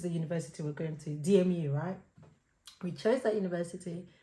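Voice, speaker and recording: A woman speaks in a somewhat breathy voice. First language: not English. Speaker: podcast co-host. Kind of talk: casual chat. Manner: hesitant, filler-heavy.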